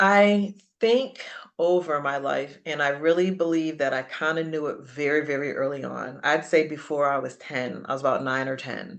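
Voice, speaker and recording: The voice carries an American accent and ordinary pitch variation. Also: woman, very deep, low pitch for a woman, moderate pace. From western Massachusetts, Springfield. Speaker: radio personality and entrepreneur. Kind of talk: interview.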